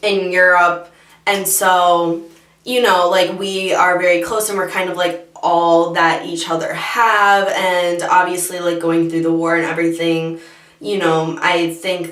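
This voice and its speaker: A woman speaks at a fairly slow pace in a fairly low, monotone voice with flat intonation. Noticeable background noise and audible room echo surround her. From Michigan, US. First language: Bosnian. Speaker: beauty youtuber. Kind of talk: casual chat.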